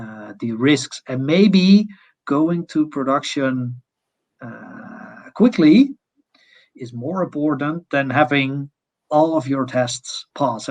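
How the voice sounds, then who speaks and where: With a non-native accent, a man speaks very slowly at a fairly high pitch with ordinary pitch variation, in a dry, close sound with no echo. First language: not English. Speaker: test automation consultant. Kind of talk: conference Q&A. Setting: online conference. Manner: halting.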